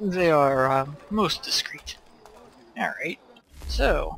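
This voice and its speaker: A put-on character voice delivers its lines at a very slow pace. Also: man, high pitch for a man. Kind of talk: mock-genteel Victorian formality. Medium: game stream. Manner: courteous, understated, euphemistic.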